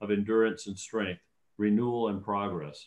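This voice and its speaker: The speech moves at a moderate pace with flat, monotone intonation. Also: man, quiet background. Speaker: council member or mayor. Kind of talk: formal proclamation reading. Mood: solemn, measured. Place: home room. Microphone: video call.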